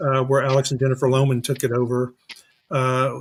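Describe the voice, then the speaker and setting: Flat, monotone intonation marks this man's speech. His pitch sits in the medium range. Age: 60s. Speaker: haunted attraction actor and convention co-owner. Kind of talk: casual interview chat. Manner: halting, many fillers and repeats.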